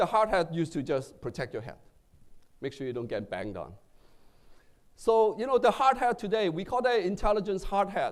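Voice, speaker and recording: Pausing long and often, a man with a non-native accent speaks at a high pitch with very wide pitch swings. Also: fairly quick pace. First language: not English. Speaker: tech executive. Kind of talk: keynote speech. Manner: halting, with fillers.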